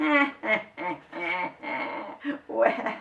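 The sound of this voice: The text is read in an unforced reading voice.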